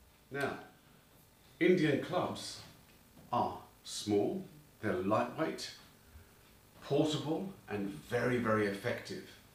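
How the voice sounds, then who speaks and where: Over audible room echo, a man with a medium pitch speaks at a very slow pace, leaving long, frequent pauses as his pitch swings very widely. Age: 60s. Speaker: fitness instructor. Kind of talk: tutorial.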